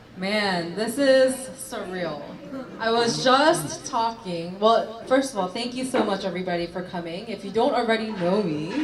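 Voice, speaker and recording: A woman's medium-pitched, lively voice at a fairly slow pace with long, frequent pauses, amid audible room echo and noticeable background noise. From South Korea. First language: Korean. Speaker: politician. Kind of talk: interview; speech.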